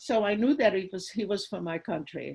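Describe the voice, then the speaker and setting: Her voice carries a Hungarian accent and some vocal fry, with ordinary pitch variation. The woman is heard over a quiet background. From Hungary. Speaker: Holocaust survivor. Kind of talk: testimony.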